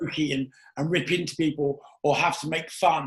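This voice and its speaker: A man with a fairly high pitch speaks with fairly even intonation. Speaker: podcast host. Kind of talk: interview. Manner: loud.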